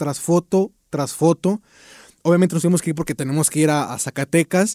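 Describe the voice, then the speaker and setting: A dark, mellow tone at a fairly quick pace with ordinary pitch variation, in a dry, close recording with no echo, very clean and with a silent background. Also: man. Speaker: podcast host and comedian. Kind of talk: casual interview.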